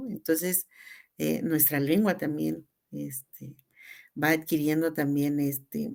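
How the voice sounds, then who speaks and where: A woman is speaking. Her pace is very slow. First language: Tzeltal (speaking Spanish). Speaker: teacher and cultural promoter. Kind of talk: radio interview.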